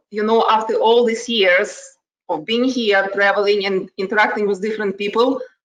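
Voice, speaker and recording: A woman with a strong Ukrainian accent and fairly even intonation. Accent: heavy Ukrainian. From Ukraine. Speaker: HR manager. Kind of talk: casual chat.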